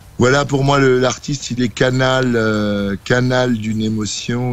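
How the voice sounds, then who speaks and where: Noticeable background noise around a man's fairly even intonation. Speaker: band singer-songwriter and stage actor. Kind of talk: radio interview. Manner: hesitant, many fillers.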